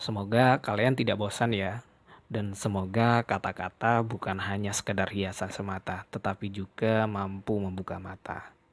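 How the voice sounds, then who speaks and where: Recorded very cleanly against a silent background, with a dry, close sound and no echo, a man at fairly low pitch speaks in a monotone, flat way at a moderate pace with hardly any pauses. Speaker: podcaster. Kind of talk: podcast monologue. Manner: casual.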